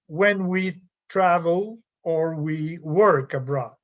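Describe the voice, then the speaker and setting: A high-pitched man with a French Canadian accent against a quiet background. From Quebec. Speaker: professor. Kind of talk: lecture. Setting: video call.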